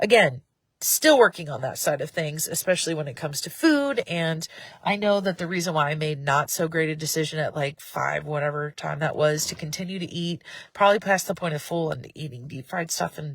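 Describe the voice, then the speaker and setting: Somewhat breathy and very deep in pitch, a woman talks at a fairly quick pace with big swings in loudness. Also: ordinary pitch variation. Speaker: faith vlogger. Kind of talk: casual live video vlog. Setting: live video.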